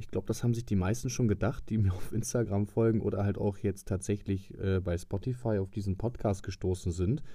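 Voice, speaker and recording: Fairly low in pitch, a man's voice has a dark, mellow tone and sounds somewhat breathy. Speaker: podcast host, van camper conversion hobbyist. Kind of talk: casual solo podcast monologue.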